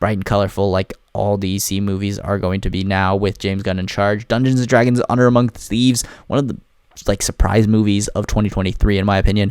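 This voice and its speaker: Talking very fast, a man uses a fairly low voice. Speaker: movie reviewer. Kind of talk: casual monologue ranking movies. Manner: animated.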